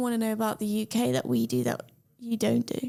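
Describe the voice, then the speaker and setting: With a British accent, a woman speaks with ordinary pitch variation. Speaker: podcast host. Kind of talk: podcast interview. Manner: upbeat.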